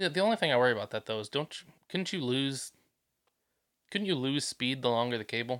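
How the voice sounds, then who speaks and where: A man with an unremarkable speaking voice, medium pitch and lively intonation, at a fairly quick pace, on a very clean recording with a silent background and a dry, close sound with no echo. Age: 30s. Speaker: podcast co-host. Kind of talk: casual chat. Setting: bedroom in a new apartment.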